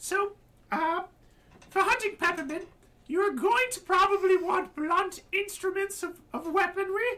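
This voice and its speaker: The voice is a put-on character. Its pitch is extremely high and squeaky. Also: fairly slow pace. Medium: actual play. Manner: chipper, fussy.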